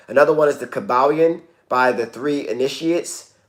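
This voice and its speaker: A man speaks at a moderate pace in a plain, everyday voice. His pitch sits fairly high. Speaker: wellness coach. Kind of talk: casual livestream talk.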